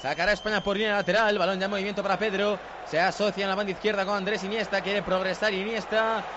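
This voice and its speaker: A man speaks very fast in a high, animated voice over noticeable background noise. His loudness stays very even. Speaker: football commentator. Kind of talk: live football commentary. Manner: animated, fast play-by-play delivery.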